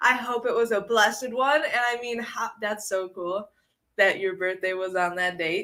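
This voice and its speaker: Animated and in a raised, projected voice, a woman speaks with an American accent. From northern Illinois. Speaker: livestream co-host filling in. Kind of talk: casual livestream chat reading comments. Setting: live video stream.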